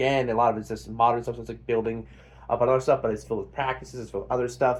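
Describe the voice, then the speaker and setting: Very fast and somewhat breathy, a man talks at a medium pitch with fairly even intonation. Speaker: book reviewer. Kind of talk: casual book review. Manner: hesitant, many fillers.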